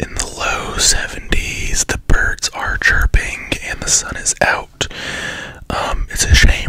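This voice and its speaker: A man is whispering. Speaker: ASMR channel host. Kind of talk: casual vlog chat. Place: home room. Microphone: studio mic.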